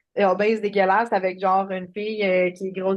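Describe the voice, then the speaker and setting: In a Quebec accent, the speaker talks at a fairly quick pace with monotone, flat intonation. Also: woman, quiet background. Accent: Québécois French. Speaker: life coach. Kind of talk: interview.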